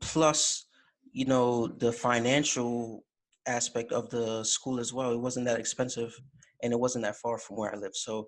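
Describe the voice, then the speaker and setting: A man with an American accent talks at a medium pitch and moderate pace, his intonation monotone and flat. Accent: slight Jamaican accent, mostly American. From Jamaica. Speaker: college fraternity officer. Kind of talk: interview. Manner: casual, relaxed.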